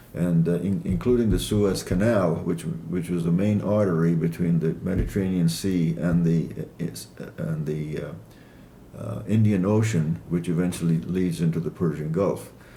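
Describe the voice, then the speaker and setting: In a room with audible echo, a man with a very deep, low pitch and a dark, mellow tone speaks at a moderate pace with ordinary pitch variation. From Iran (Kermanshah), Assyrian family. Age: 80s+. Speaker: author. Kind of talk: interview. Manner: hesitant, many fillers.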